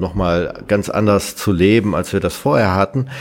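A man speaks at a fairly slow pace with ordinary pitch variation. His pitch is fairly low. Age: 50s. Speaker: IT company founder. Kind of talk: interview. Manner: hesitant with many fillers.

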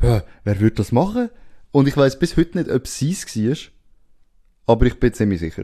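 A dark, mellow voice in a Swiss accent moves through very wide pitch swings, broken by long, frequent pauses. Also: man, medium pitch for a man, moderate pace. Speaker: podcast host. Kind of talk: casual chat.

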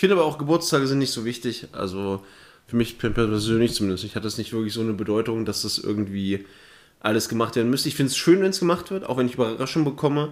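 Lively intonation marks this man's voice. He talks very fast. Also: medium pitch for a man. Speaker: podcast co-host and streamer. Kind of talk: casual chat. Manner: soft-spoken.

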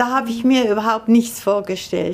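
A woman talks in an ordinary speaking voice. Her pace is moderate and her intonation fairly even. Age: 60s. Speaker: chronic pain patient, artist. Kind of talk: interview testimony.

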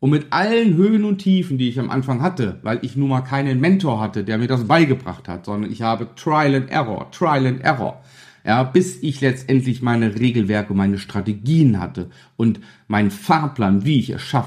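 In a very clean recording with a silent background, a man speaks at medium pitch and a moderate pace, his slightly mellow tone carrying lively intonation with few pauses.

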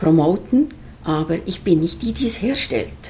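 There is noticeable background noise as a woman talks. Her pitch is fairly low and her pace moderate. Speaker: herbal skincare maker. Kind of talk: interview. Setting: in person.

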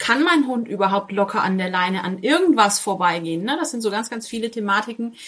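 Here is a woman's voice. Its pitch is fairly high. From Franconia, northern Bavaria (near Coburg/Kronach). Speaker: dog trainer. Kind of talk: casual interview. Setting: video call from home office.

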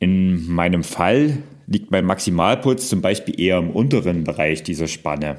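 A man's very deep, low voice rises and falls with lively intonation. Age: 40s. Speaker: fitness podcaster. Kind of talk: solo podcast explainer.

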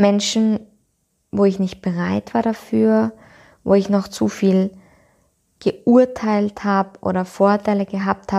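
A woman at a very slow pace, with long, frequent pauses and fairly even intonation, on a very clean recording with a silent background. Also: medium pitch for a woman. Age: 20s. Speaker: podcast host, yoga and personal development coach. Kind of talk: personal reflective monologue.

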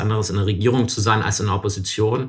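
A man with a fairly low pitch speaks in a somewhat breathy voice on a very clean recording with a silent background. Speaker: member of parliament. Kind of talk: interview. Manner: hesitant, many fillers.

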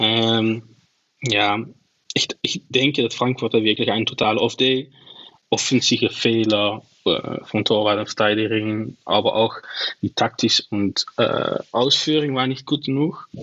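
A man with a Dutch accent speaks at a very slow pace and medium pitch, with fairly even intonation. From Netherlands, Venlo. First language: Dutch (speaking German). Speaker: football scout and analyst. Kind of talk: casual chat. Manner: halting.

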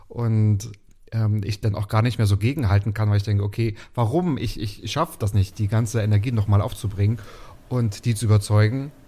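At a fairly quick pace, a man with a fairly low pitch and a dark, mellow tone sounds somewhat breathy, keeping his intonation fairly even. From Mecklenburg, Waren an der Müritz. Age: 30s. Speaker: podcast host as guest. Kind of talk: casual interview chat. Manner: talkative.

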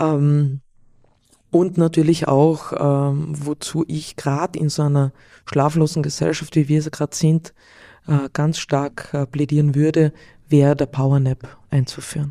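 A woman with a slight Carinthian accent, very deep and low in pitch, dark and mellow in tone, flat and monotone at a fairly slow pace, in a dry, close sound with no echo. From Austria, Carinthia (Villach). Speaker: sleep coach. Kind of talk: interview. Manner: halting.

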